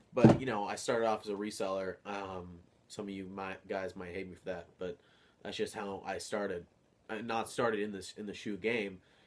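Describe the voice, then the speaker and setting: At a moderate pace, a man speaks in a flat monotone at a fairly low pitch with big swings in loudness. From New England. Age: young. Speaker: sneaker vlogger. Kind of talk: casual vlog monologue. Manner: rambling, jumpy delivery.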